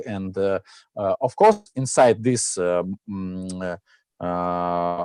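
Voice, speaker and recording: Over a quiet background, a man with a Russian accent speaks in a dark, mellow tone with lively intonation. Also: dry, close sound with no echo. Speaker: startup founder pitching. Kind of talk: pitch Q&A. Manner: halting, many fillers.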